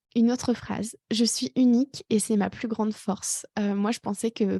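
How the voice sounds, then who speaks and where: Speaking at a moderate pace, a woman has a somewhat breathy, dark, mellow tone and fairly even intonation, with a dry, close sound, no echo and a quiet background. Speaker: life coach, podcast host. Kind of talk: personal podcast monologue. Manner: hesitant, many fillers.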